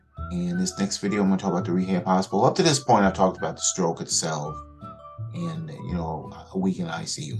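A fairly quick pace with clear music in the background. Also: man. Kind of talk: casual vlog chat. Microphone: webcam.

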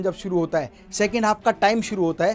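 Pitched high, this man's voice shows ordinary pitch variation. He speaks at a moderate pace. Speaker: business trainer. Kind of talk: lecture. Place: studio. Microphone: lapel.

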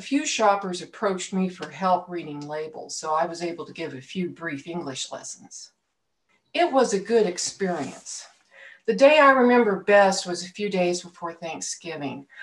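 A woman with a plain, everyday voice speaks at a fairly low pitch, her intonation lively and her loudness swinging widely. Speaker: speaker. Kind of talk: sermon-style personal story. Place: home room. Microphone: webcam.

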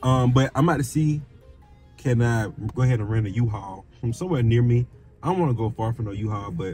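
Faint music plays in the background while a man talks at a fairly quick pace in a dry sound with no echo. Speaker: vlogger. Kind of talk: casual vlog chat. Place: car.

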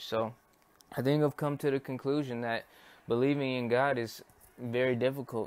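A man speaks with an American accent at a moderate pace. His pitch is medium and his intonation monotone and flat. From United States. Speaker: YouTube religious commentator. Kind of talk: unscripted monologue. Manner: hesitant, many fillers.

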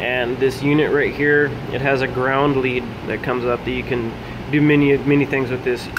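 The speech moves at a moderate pace, with noticeable background noise throughout. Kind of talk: tutorial. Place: garage. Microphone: phone near.

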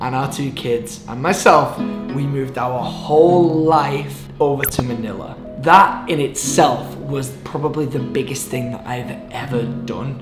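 Clear music plays behind a man who talks at a fairly slow pace with ordinary pitch variation. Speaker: vlogger. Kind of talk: casual vlog chat. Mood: earnest, open. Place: home room.

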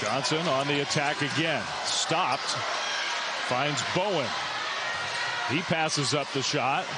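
A man at a very slow pace under loud background noise, the sound dry with no echo. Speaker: play-by-play sports commentator. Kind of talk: live sports commentary. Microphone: headset.

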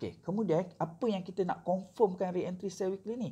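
Over a quiet background, a man talks at a moderate pace with vocal fry. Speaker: forex trading mentor. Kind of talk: tutorial. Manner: casual, code-switching with filler sounds.

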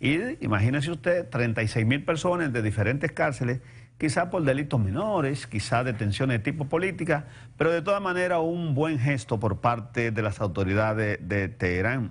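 With a Dominican accent, a man talks at a moderate pace, sounding somewhat breathy, with lively intonation. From Dominican Republic. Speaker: TV talk show host. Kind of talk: TV news commentary. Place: studio.

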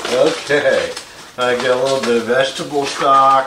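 A man speaks with audible room echo. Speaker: home cook host. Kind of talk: casual cooking show tutorial. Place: kitchen. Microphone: camera far.

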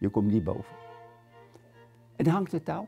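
A man's pitch swings very widely as he talks. Faint music plays in the background. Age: 80s+. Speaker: concentration camp survivor, war witness. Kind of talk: interview answer. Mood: grave, recalling wartime horror. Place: home room. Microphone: lapel.

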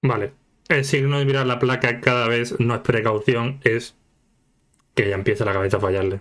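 Against a quiet background, a man with a Spanish accent speaks at a moderate pace with long, frequent pauses. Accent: Peninsular Spanish. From Spain. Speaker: YouTube anime reactor. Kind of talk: casual reaction commentary. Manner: animated, laughing often. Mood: joking, playful. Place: home room.

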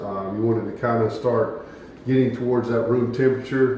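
In a monotone, flat intonation, a man talks at a fairly quick pace amid audible room echo and light background noise. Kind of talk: tutorial. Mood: relaxed, casual. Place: kitchen.

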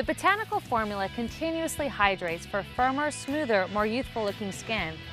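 Clear music plays in the background as the voice moves at a fairly quick pace, the sound dry with no echo. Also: woman. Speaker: fitness trainer. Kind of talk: TV commercial read.

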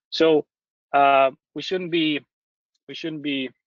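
A man talks with a fairly high pitch. His intonation stays fairly even at a moderate pace. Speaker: company founder and scientist. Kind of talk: lecture. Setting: online webinar.

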